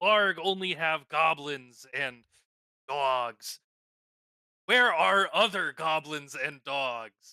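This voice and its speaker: In a put-on character voice, a man speaks at a very slow pace with a fairly high pitch and long, frequent pauses. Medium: actual play. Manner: speaks of himself in third person, broken grammar.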